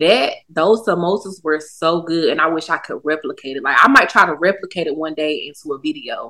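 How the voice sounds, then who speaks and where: With a bright, sharp tone and hardly any pauses, a woman with an American accent speaks at a fairly low pitch. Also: ordinary pitch variation. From US South, Durham, North Carolina. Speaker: food content creator and social media coach. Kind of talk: casual chat.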